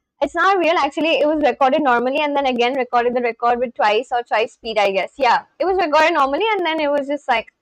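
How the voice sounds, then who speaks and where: A woman with an Indian accent, high in pitch, very fast and lively, in a dry, close sound with no echo. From India, West Bengal. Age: 20s. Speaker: live streamer. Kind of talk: casual chat.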